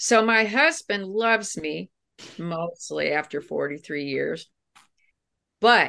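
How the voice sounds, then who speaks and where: A woman with a bright, sharp tone speaks at a very slow pace. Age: 60s. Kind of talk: interview. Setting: at home, remote recording. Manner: animated.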